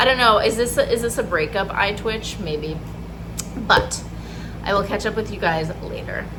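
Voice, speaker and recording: Long, frequent pauses break up the speech, heard over noticeable background noise with audible room echo. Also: woman, moderate pace. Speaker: vlogger and therapist. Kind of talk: casual vlog. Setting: outdoors outside a coffee shop. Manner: talking quietly.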